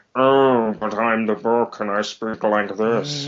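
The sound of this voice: Using a put-on character voice, a man talks at a medium pitch. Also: fairly slow pace.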